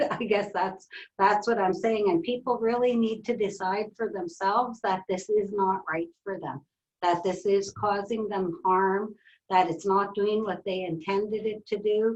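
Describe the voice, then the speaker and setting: With a plain, everyday voice, a woman speaks at medium pitch and a fairly slow pace, her pitch varying in an ordinary way. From northern British Columbia coast, Canada. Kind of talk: webinar conversation.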